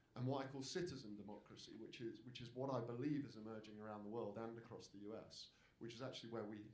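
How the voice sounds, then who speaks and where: The speaker talks at a very fast pace with a British accent. Intonation is fairly even, and room echo is audible. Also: man. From Britain. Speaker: democracy campaigner, panelist. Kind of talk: panel talk. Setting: stage with audience. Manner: repetitive false starts.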